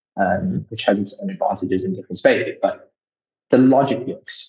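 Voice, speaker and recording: Speaking fairly quickly, a man uses a medium pitch that swings very widely. His tone is dark and mellow, and somewhat breathy. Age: 20s. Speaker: prop trading firm founder. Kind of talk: interview.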